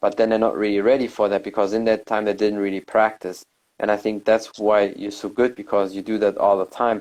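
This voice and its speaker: The speaker has a non-native accent and talks at a fairly quick pace with monotone, flat intonation. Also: man. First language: not English. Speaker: podcast host. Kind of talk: casual interview chat.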